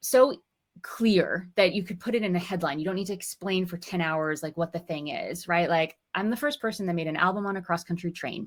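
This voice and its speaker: Energetic and animated, a woman talks at a medium pitch with ordinary pitch variation. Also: fairly quick pace. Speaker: musician and course teacher. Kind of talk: webinar interview. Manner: fast; energetic, animated.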